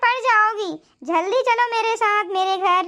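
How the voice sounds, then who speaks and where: This woman puts on a cartoonish character voice. She talks at a fairly slow pace. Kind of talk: village cartoon melodrama. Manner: warm, motherly.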